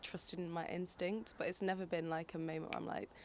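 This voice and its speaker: This woman has a northern English accent and a fairly low pitch. Her intonation stays fairly even. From northern England, Manchester. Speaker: singer and poet. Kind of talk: interview. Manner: casual.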